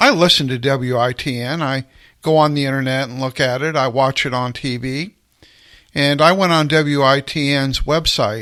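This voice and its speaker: Here a man speaks with an American accent at a moderate pace. His tone is bright and sharp, and his pitch is fairly high. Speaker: radio talk show host. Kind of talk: radio commentary monologue.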